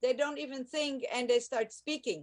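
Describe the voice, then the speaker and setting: A woman speaks with a German accent. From Germany. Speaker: language teacher. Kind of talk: radio interview. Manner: halting, many fillers.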